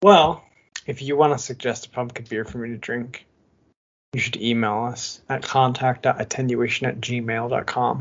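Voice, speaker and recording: An American-accented man with an unremarkable speaking voice and medium pitch talks at a moderate pace, with big swings in loudness. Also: fairly even intonation. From Michigan, US Midwest. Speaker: beer podcast co-host. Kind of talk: casual chat.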